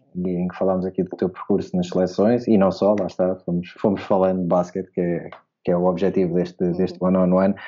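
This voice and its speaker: Talking at a fairly quick pace, a man with a very deep, low pitch speaks with a European Portuguese accent. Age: 30s. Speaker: basketball podcast host. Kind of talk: casual interview.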